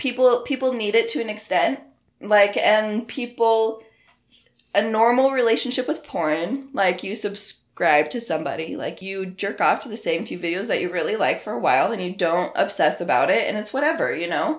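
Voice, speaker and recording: With an American accent, a woman speaks at a moderate pace. Her pitch swings very widely. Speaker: adult content creator. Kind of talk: casual interview.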